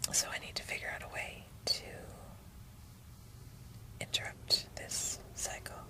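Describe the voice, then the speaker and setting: A woman whispers at a fairly slow pace with long, frequent pauses and big swings in loudness, over noticeable background noise. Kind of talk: personal rambling vlog. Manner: whispered.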